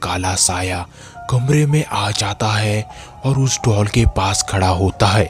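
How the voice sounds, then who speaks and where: A man's cartoonish character voice at a fairly low pitch, with clear music in the background. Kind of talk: horror storytelling narration.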